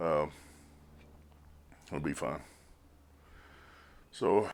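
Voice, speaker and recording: With vocal fry and lively intonation, a man speaks at a very slow pace. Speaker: car restoration youtuber. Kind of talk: casual tutorial. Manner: halting, many fillers.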